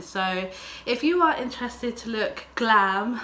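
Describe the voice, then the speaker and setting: Someone speaks in an English accent over noticeable background noise. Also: woman. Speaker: beauty vlogger. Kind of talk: makeup tutorial vlog. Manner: casual, filler-heavy.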